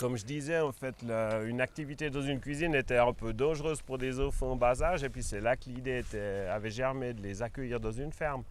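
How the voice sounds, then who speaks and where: A man with an ordinary speaking voice talks at a medium pitch with ordinary pitch variation. His pace is fairly quick, with hardly any pauses. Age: 60s. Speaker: organic farmer. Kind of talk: interview. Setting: at his farm.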